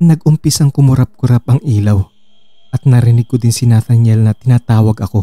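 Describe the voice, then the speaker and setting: Music plays in the background as a man at medium pitch speaks at a fairly quick pace. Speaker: horror story narrator. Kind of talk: horror story narration, first-person scripted storytelling.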